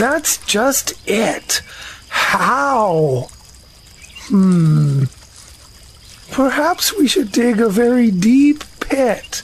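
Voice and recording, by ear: A man does a put-on character voice at an extremely high pitch. He talks very slowly with long, frequent pauses.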